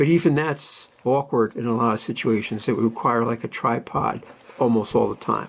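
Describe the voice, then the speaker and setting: Using vocal fry, a man speaks at a medium pitch and a moderate pace with ordinary pitch variation. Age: 60s. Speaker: camera and vintage lens reviewer. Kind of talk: tutorial. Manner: casual, halting with many fillers.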